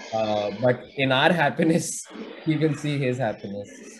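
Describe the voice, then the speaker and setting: Amid noticeable background noise, a man speaks at a medium pitch and a fairly slow pace. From India. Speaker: son of the deceased. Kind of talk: eulogy at online memorial. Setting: video call. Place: office. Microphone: video call.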